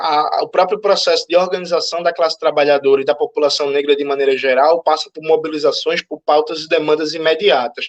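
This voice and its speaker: A man talks fairly quickly in a fairly high voice, with hardly any pauses and fairly even intonation. The sound is dry and close with no echo. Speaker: Marxist activist and panel speaker. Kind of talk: lecture. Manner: fast.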